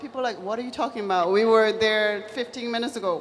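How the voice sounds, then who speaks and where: A woman with a Chinese accent speaks in a fairly high voice with ordinary pitch variation. Noticeable background noise and audible room echo accompany her. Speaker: business executive. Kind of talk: panel discussion.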